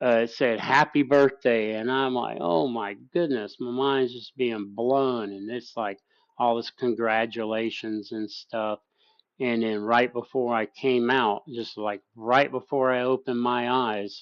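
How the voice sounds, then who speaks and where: A man at a fairly slow pace and medium pitch, with an ordinary speaking voice and fairly even intonation. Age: 50s. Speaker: livestream host discussing psychedelics. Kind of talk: casual livestream chat.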